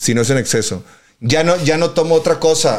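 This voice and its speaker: A man with a Mexican accent, animated in tone, at a moderate pace with ordinary pitch variation. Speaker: podcast host. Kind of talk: casual chat.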